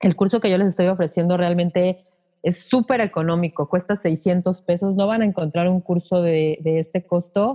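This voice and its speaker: Recorded dry and close with no echo, a woman speaks at a moderate pace with a medium pitch, a dark, mellow tone, fairly even intonation and very even loudness. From Mexico City. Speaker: podcast teacher and broadcaster. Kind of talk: interview.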